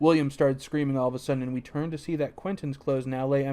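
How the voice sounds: Fairly even intonation in a natural reading voice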